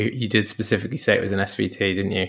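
Here a man is speaking. His pace is very fast. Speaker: doctor podcast host. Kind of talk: podcast journal roundup. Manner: sarcastic, witty.

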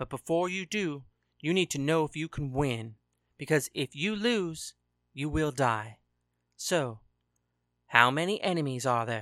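Long, frequent pauses on a very clean recording with a silent background. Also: fairly slow pace. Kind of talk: dramatic audiobook-style fiction narration.

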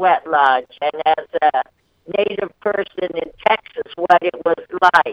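Music plays in the background as a woman with a fairly low voice speaks at a very slow pace. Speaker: activist. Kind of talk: interview. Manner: halting.

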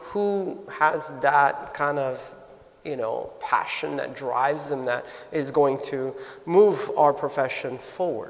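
There is audible room echo and noticeable background noise. A man with an American accent speaks at a fairly slow pace. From US, South Florida. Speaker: nursing school dean. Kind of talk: interview before live audience. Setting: stage with audience.

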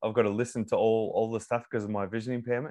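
A man with an Australian accent, monotone and flat in intonation. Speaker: psychology student and former tradesman. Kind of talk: casual interview. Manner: halting, many repetitions.

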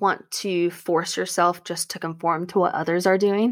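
A woman's normal speaking voice, medium in pitch, with fairly even intonation and a fairly slow pace, in a very clean recording with a silent background. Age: 20s. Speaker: podcast co-host. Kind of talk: casual chat.

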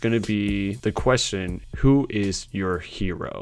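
An unremarkable speaking voice from a man, fairly low in pitch, with ordinary pitch variation, on a very clean recording with a silent background. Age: 20s. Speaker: podcast host. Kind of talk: solo motivational monologue. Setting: home recording in his room. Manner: casual.

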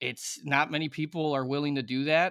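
Chicago accent, bright and sharp in tone, moderate in pace, with a dry, close sound and no echo. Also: man. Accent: Chicago American English. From US Midwest, Chicago. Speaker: former hockey player, podcast co-host. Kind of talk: casual chat.

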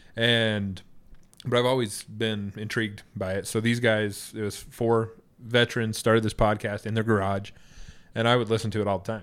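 On a very clean recording with a silent background, a man with an American accent speaks at a moderate pace in a fairly low pitch with monotone, flat intonation. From Idaho, US. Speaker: podcaster and postal contractor. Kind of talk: casual chat. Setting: studio, sharing one microphone.

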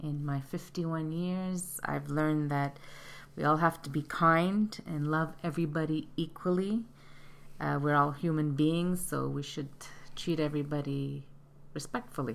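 A fairly slow pace from a woman with a very deep, low pitch. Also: fairly even intonation. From Montreal, Canada. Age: 50s. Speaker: retail product analyst, host's mother. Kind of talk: interview. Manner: halting, many fillers.

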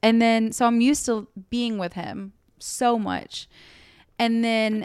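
A woman speaks in an animated tone at a fairly high pitch. The recording is very clean, with a silent background. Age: 20s. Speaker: podcast co-host. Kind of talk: casual chat.

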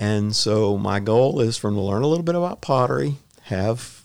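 A man speaks with a Texan accent. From Houston, Texas. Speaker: retired firefighter and potter. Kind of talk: casual interview. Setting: chamber of commerce office.

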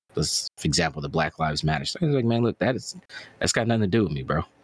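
A man talks at a very fast pace with a very deep, low pitch and vocal fry. The sound is dry and close with no echo. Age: 30s. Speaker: YouTube gaming content creator. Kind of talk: casual chat.

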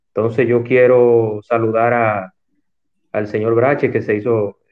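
A man speaks at medium pitch. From Santo Domingo, Dominican Republic. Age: 40s. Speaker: talk show host. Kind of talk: interview. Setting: online audio room.

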